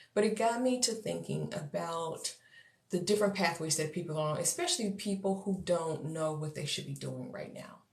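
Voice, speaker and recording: A woman with vocal fry, a fairly low pitch, ordinary pitch variation and a moderate pace. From Texas. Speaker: coach for neurodivergent entrepreneurs. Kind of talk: livestream talk to viewers. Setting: social media livestream.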